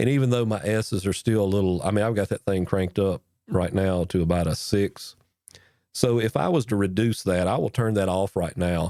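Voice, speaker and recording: At a fairly quick pace, a man speaks in a fairly low pitch with a dark, mellow tone and very even loudness, in a dry, close sound with no echo on a very clean recording with a silent background. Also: ordinary pitch variation. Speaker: podcaster explaining audio gear. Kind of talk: tutorial.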